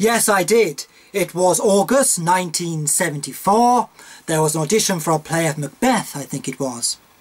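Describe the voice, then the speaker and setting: Speaking with a British accent, a man uses a high pitch and lively intonation. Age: 60s. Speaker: interviewee recounting life story. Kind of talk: biographical interview.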